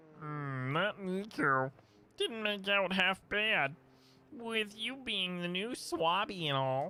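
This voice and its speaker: A man uses a put-on character voice pitched high. He speaks at a very slow pace. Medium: game stream. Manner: folksy, casual.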